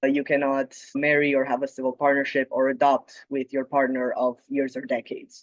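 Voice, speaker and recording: A man with a Romanian accent speaks at a fairly quick pace with hardly any pauses, in a fairly high, monotone, flat voice. The sound is dry and close, with no echo. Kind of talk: conference talk.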